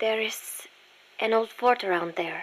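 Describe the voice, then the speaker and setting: A woman puts on a character voice at a fairly high pitch. Her pace is fairly slow. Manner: upset, troubled.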